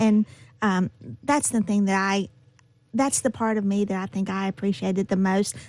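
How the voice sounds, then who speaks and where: Ordinary pitch variation and a moderate pace in a normal speaking voice. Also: woman, medium pitch for a woman. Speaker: radio interviewer. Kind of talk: radio interview.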